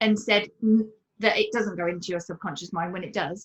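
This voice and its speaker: In a British accent, a woman speaks in a fairly high, somewhat breathy voice with ordinary pitch variation. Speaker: permanent makeup artist. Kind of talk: interview conversation. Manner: quiet.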